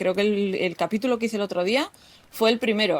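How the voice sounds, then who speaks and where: With a Basque accent, a woman speaks at a moderate pace in a fairly high pitch. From Basque Country. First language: Basque (speaking Spanish). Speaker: podcast host, textile crafter. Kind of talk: solo podcast talk.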